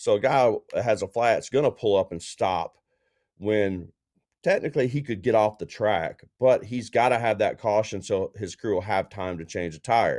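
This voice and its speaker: An ordinary speaking voice at a moderate pace with ordinary pitch variation. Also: man, medium pitch for a man, very clean recording, silent background. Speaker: co-host, racing journalist. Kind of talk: casual sports podcast discussion.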